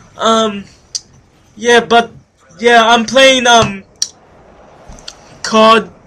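A man speaks in a raised, projected voice with a high pitch and monotone, flat intonation at a very slow pace. Noticeable background noise runs under the recording. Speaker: gaming youtuber. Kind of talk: gameplay commentary. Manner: halting, many fillers.

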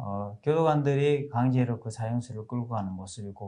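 A man's very fast, somewhat breathy voice with a dark, mellow tone and ordinary pitch variation. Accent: Korean. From South Korea. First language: Korean (speaking Hindi). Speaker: pastor. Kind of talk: testimony. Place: studio. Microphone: lapel.

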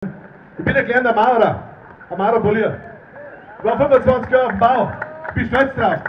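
A man speaks in an extremely high pitch with fairly even intonation at a moderate pace. Long, frequent pauses break it up, over light background noise. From Erding, Bavaria. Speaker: politician, state parliament member. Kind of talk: political rally speech. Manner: fiery, rousing. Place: tent. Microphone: handheld.

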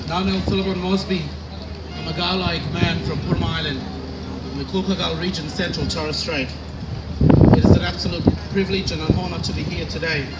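Loud background noise surrounds a man who is speaking very quickly. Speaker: choir spokesperson. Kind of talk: formal stage introduction. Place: stage. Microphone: pa.

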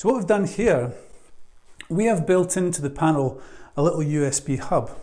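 A man with a dark, mellow tone and a fairly high pitch speaks at a moderate pace with lively intonation.

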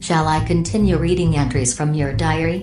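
A robotic, put-on character voice talks at a moderate pace over clear music in the background.

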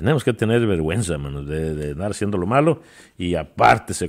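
Speaking very fast with very wide pitch swings, a man comes through on a very clean recording with a silent background. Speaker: preacher. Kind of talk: sermon. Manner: halting, repeating words as he searches for phrasing.

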